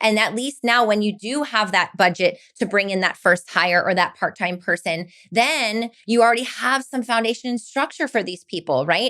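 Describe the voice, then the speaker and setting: A woman's fairly high, bright, sharp voice with an American accent, on a very clean recording with a silent background. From Miami, Florida. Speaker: entrepreneur, company founder. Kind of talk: podcast interview. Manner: fast.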